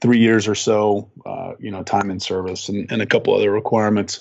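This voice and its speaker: A man speaks in a fairly low voice with monotone, flat intonation. His pace is moderate. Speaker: war veteran. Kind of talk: casual chat.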